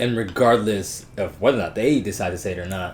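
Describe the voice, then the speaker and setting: With ordinary pitch variation and a moderate pace, a man talks amid audible room echo. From Jamaica, raised in US from young. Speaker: guest talking about his interracial relationship. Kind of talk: casual chat.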